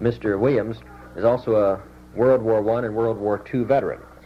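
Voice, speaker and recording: A man's fairly low voice, an unremarkable speaking voice, moves along at a moderate pace. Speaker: oral history interviewer. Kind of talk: interview questions.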